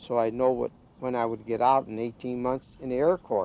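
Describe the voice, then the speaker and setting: A man with a Midwestern US accent has a dark, mellow tone. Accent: US Midwest. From Ohio, Canton. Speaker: retired ballroom dancer. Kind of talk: documentary interview. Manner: halting.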